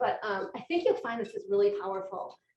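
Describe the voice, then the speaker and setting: A woman at a fairly quick pace, with audible room echo. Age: 50s. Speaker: physician and speaker. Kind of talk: lecture. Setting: luncheon talk with audience and Zoom. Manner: conversational.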